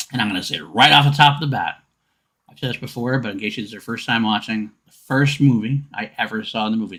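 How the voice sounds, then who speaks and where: This man talks at a very fast pace in a medium pitch, with ordinary pitch variation and big swings in loudness. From New York. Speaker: podcast host. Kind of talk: casual chat.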